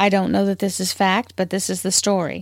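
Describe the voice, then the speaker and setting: With a Southern US accent, a woman speaks at a moderate pace and medium pitch in a dry, close sound with no echo. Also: very clean recording, silent background. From US South. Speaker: spiritual podcast host. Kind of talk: spiritual talk.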